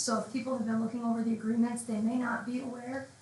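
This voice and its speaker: There is audible room echo and noticeable background noise. A woman speaks in a high pitch. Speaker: village board trustee. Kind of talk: public comment at town board meeting. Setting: council meeting with microphone. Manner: fast.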